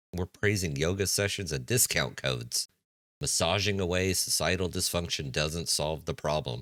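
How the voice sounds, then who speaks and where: With vocal fry and lively intonation, a man speaks at a moderate pace in a very deep, low pitch, captured in a very clean recording with a silent background. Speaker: commentary channel host. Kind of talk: reaction commentary. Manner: sarcastic.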